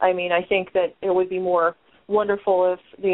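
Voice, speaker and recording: With an American accent, a woman speaks at a fairly quick pace and medium pitch in an unremarkable speaking voice. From Ohio, US. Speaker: podcast host. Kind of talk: casual chat.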